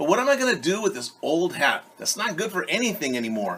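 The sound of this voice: In a put-on character voice, a man talks fast at a fairly high pitch, with big pitch swings and a slightly husky edge.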